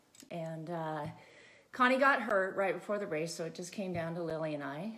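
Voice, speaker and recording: In a Californian accent, a woman talks with a fairly low pitch and ordinary pitch variation, with audible echo in the room. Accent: Californian American. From California, Santa Barbara County mountains. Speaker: off-road motorcycle racer. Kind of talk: casual chat. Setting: home.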